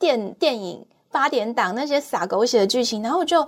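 In a Taiwanese accent, a woman speaks with very wide pitch swings. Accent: Taiwanese Mandarin. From Taiwan, Taichung. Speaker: cancer patient sharing her story. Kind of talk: personal testimony in interview. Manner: halting, repeats words.

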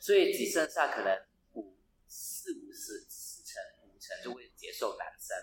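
The voice carries a Cantonese accent and moves at a fairly slow pace. Its pitch swings very widely and its loudness rises and falls sharply. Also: man, extremely high pitch for a man. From Hong Kong. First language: Cantonese (speaking Chinese). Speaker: travel blogger. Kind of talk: casual chat. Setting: residential hallway in Hong Kong. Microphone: roomy, echoey recording.

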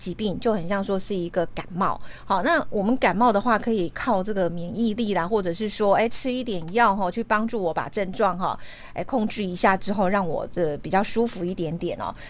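A woman talks in a plain, everyday voice at a fairly quick pace. Her pitch is medium, with ordinary variation. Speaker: radio host. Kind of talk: interview.

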